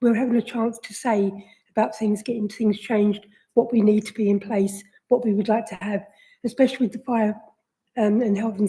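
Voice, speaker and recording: A woman's fairly high, somewhat breathy voice with a dark, mellow tone, fairly quick pace, monotone, flat intonation and big swings in loudness. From London (Hammersmith and Fulham). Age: 60s. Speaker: resident working group chair. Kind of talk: committee meeting statement. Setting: council committee meeting, livestreamed.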